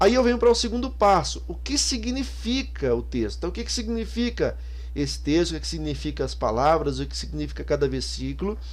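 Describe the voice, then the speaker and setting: A man's fairly quick delivery carries audible echo from the room. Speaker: Bible teaching YouTuber. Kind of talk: software tutorial. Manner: fast; casual, with many fillers.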